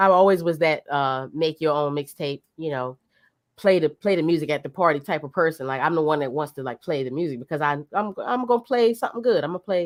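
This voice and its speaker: A woman's very deep, low voice with an American accent, very fast and lively in intonation, on a very clean, silent recording with a dry, close sound and no echo. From US South, Norfolk, Virginia. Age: 40s. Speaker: DJ, streamer and voice actor. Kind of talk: casual interview chat. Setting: live stream. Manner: halting, many fillers.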